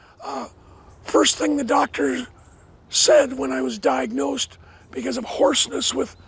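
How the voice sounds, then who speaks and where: A man speaks at a fairly slow pace, leaving long, frequent pauses, while noticeable background noise runs beneath him. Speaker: professor. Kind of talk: guided tour. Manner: halting, many fillers.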